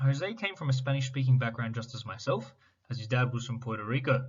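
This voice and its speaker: With ordinary pitch variation and a somewhat breathy sound, a man speaks fairly quickly. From Sydney, Australia (lower Blue Mountains, western suburbs). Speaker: education student. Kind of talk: scripted presentation. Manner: formal.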